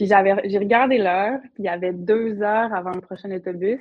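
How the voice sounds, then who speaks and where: Delivered at a moderate speed, an unremarkable speaking voice keeps a fairly even intonation. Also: woman. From Quebec, Côte-Nord (Havre-Saint-Pierre). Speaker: entrepreneur, paddleboard business owner. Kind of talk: casual interview.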